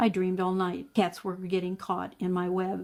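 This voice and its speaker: Putting on a character voice, a woman talks at a moderate pace and a medium pitch. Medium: read story.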